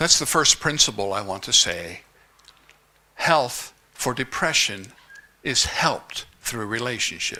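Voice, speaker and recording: Delivery is fairly slow, with lively intonation and long, frequent pauses. Noticeable background noise is present. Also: man, medium pitch for a man. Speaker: conference speaker. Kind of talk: speech.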